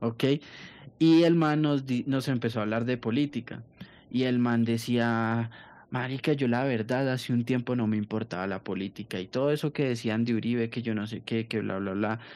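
A man with an unremarkable speaking voice, medium pitch and a moderate pace against a quiet background. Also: fairly even intonation. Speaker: podcast co-host. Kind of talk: casual chat.

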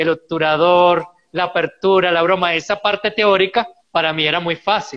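With a bright, sharp tone and a high pitch, this man talks at a fairly slow pace using fairly even intonation. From Venezuela. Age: 40s. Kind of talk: interview.

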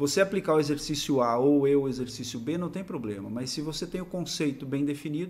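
This man has an ordinary speaking voice, fairly high pitched, with ordinary pitch variation. He talks at a fairly quick pace with hardly any pauses. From western Santa Catarina, Brazil. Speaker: sports scientist and fitness coach. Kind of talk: interview.

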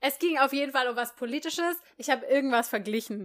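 A woman talks very fast at a high pitch with ordinary pitch variation. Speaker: podcast co-host. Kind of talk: casual chat.

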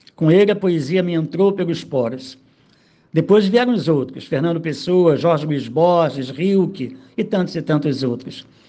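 This man has a fairly high pitch and a dark, mellow tone, talking at a fairly slow pace with ordinary pitch variation. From Rio de Janeiro suburbs, Brazil. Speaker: poet. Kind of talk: recorded autobiographical monologue.

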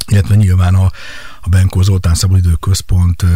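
A man's monotone, flat delivery moves at a fairly quick pace amid noticeable background noise. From Hungary, Kecskemét. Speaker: sports facility company director. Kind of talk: radio interview. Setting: radio studio.

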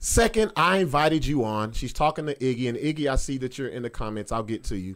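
Speaking at a fairly quick pace, a man sounds animated at a medium pitch. The recording is very clean, with a silent background. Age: 40s. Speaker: podcast host and comedian. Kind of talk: casual chat.

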